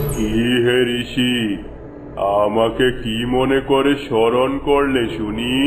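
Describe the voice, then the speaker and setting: With clear background noise behind him, a man does a cartoonish character voice at a medium pitch and a fairly slow pace. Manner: solemn, oracular.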